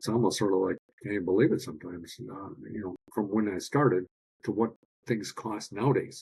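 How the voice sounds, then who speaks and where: Speaking at a fairly quick pace, a man with a fairly low, somewhat breathy voice uses ordinary pitch variation, recorded dry and close with no echo. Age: 60s. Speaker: biological dentist. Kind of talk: podcast interview.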